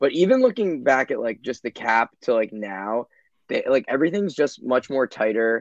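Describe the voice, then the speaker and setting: This man has a normal speaking voice, speaking at a medium pitch and a moderate pace with lively intonation. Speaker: podcast guest. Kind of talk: casual chat.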